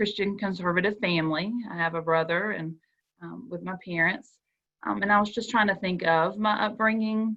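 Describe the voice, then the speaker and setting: A woman with a Southern US accent. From US South, South Georgia. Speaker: school counselor panelist. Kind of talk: panel discussion.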